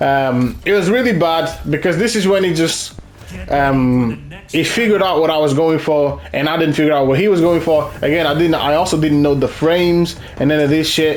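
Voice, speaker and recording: A man's fairly high voice with ordinary pitch variation and very even loudness, audible room echo, and music in the background. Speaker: gaming content creator. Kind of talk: gameplay commentary. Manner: fast; casual, halting with repetitions.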